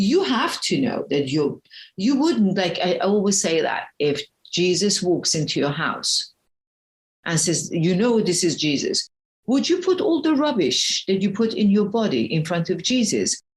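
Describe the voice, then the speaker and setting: A woman talks fairly slowly in a medium, somewhat breathy voice. Her pitch swings very widely while her loudness stays very even. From Iran. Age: 60s. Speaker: spiritual health coach. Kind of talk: interview. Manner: animated.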